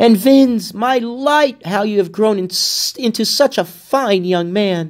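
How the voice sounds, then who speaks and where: The speaker uses a put-on character voice, sing-song and at a fairly slow pace. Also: man, high pitch for a man. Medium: read story. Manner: warm, friendly.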